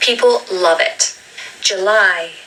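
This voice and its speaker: There is noticeable background noise as a woman talks with a southern English accent. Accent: British (southern English RP-like). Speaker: English pronunciation teacher. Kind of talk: tutorial. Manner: slow, drawn-out model pronunciations.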